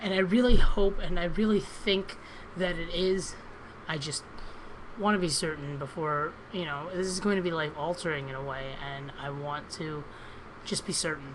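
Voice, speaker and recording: With audible room echo and big swings in loudness, a woman talks at a moderate pace. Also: fairly low pitch for a woman, ordinary pitch variation. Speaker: vlogger. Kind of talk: personal video diary. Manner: hesitant, many ums.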